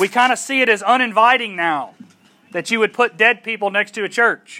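A man with a bright, sharp tone uses a raised, projected voice at a fairly quick pace. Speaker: preacher. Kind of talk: sermon. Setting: outdoors.

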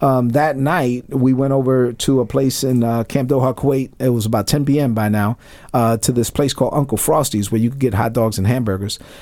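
A man with a New York accent talks at a fairly quick pace in a dark, mellow tone. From Brooklyn, New York. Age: 40s. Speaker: retired army officer and minister. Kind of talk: radio interview.

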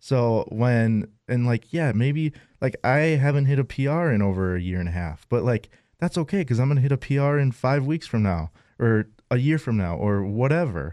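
An unremarkable speaking voice from a man at medium pitch, dry and close with no echo, against a quiet background. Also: moderate pace. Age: 20s. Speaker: powerlifting coach and podcast co-host. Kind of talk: casual chat.

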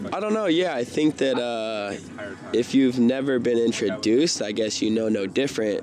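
A man speaks at a moderate pace with an American accent, medium pitch, and ordinary pitch variation. Noticeable background noise runs underneath. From US South, South Carolina. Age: 20s. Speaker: professional skateboarder. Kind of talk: interview. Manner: casual, hesitant with fillers.

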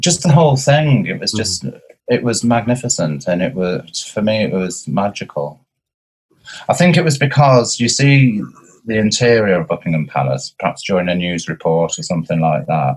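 A man with a Lancashire accent, very wide pitch swings and a moderate pace. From northern England, Blackpool. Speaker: performance artist. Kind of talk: casual chat. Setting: video call.

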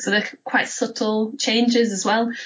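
A woman speaks with a Yorkshire accent. Her pace is moderate. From Huddersfield, northern England. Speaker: comics artist and author. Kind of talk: interview.

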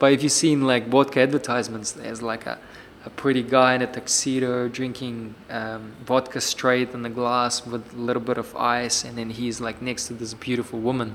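Over noticeable background noise, a man with a Russian accent speaks at a medium pitch and a moderate pace, his intonation flat and monotone while his loudness swings widely. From Siberia, Russia (Irkutsk). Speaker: personal trainer. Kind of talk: interview.

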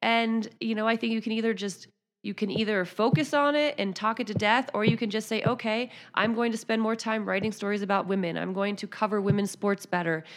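A woman with an American accent speaks fairly quickly in a plain, everyday voice, fairly high in pitch with ordinary pitch variation. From Pittsburgh, Pennsylvania. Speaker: sports journalist. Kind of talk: interview.

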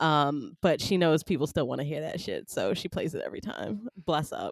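In a very clean recording with a silent background and a dry, close sound without echo, a woman with an American accent, a normal speaking voice and a fairly low pitch for a woman talks at a moderate pace with ordinary pitch variation. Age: 20s. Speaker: podcast co-host. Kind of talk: casual chat.

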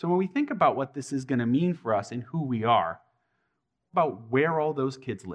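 Lively intonation runs through this man's speech in a plain, everyday voice. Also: medium pitch for a man, fairly quick pace. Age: 30s. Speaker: education policy advisor. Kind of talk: public talk.

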